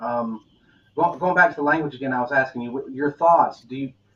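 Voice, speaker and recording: A man's intonation is lively as he talks at a fairly quick pace. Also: big swings in loudness. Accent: Southern US. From US South. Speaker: podcast host. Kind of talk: interview conversation. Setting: live online video interview.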